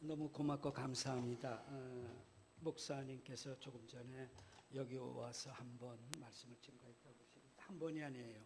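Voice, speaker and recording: A man speaks at a moderate pace in a medium pitch, somewhat breathy, with fairly even intonation. His loudness swings widely, and the room echo is audible. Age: 60s. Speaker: guest pastor. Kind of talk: sermon. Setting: church.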